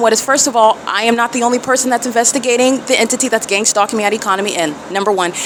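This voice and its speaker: A woman's fairly high voice at a very fast pace, fairly even in intonation, over noticeable background noise. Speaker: self-documenting vlogger. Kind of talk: self-recorded documentation monologue. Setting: hotel room and outside a hotel. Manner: loud; agitated.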